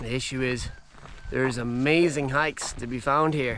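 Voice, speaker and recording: With noticeable background noise around him, a man speaks at a moderate pace in a medium pitch with fairly even intonation. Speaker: travel vlogger, hiker. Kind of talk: vlog narration. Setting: outdoors. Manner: casual; quiet.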